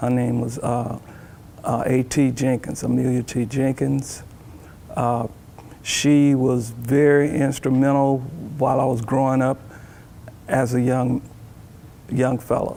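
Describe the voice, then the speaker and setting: A man speaks fairly slowly at a medium pitch, leaving long, frequent pauses. His intonation is monotone and flat, and there is noticeable background noise. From US South, Alabama. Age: 60s. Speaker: church deacon. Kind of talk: testimony. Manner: halting.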